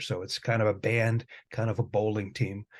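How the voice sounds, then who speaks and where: A somewhat breathy man's voice at medium pitch, with an American accent, against a quiet background. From Michigan, Detroit area. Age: 60s. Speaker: music professor and guitarist. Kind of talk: interview conversation.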